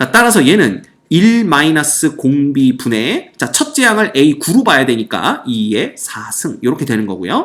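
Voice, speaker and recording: Hardly any pauses break up the speech. The pace is moderate. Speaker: math teacher. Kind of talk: lecture.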